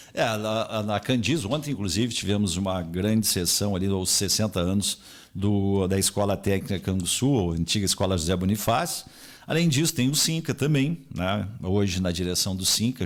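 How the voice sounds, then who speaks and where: A man speaks in an ordinary speaking voice, fairly low in pitch, at a moderate pace. His intonation is lively and his loudness very even. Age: 60s. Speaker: retired civil servant and radio broadcaster. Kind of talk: radio interview. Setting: radio studio, also streamed live.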